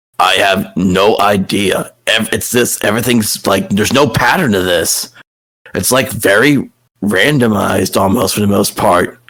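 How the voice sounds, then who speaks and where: A man's put-on character voice, raspy and weary in tone, with a fairly low pitch, ordinary pitch variation, very even loudness, and a moderate pace. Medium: actual play. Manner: world-weary, rambling.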